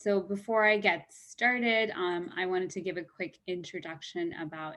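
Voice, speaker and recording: In an ordinary speaking voice, a woman talks at a moderate pace in a medium pitch with hardly any pauses. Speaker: diversity and inclusion program lead. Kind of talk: presentation rehearsal.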